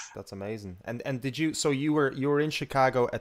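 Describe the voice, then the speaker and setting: A man with an Irish accent talks at a very fast pace in a very clean recording with a silent background. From Ireland. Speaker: radio host. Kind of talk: interview.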